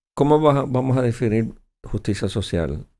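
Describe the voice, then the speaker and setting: A man with a Puerto Rican accent speaks at a moderate pace, his tone dark and mellow, his intonation lively. The recording is very clean, with a silent background. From Puerto Rico. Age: 60s. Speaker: senator, politician. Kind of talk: interview.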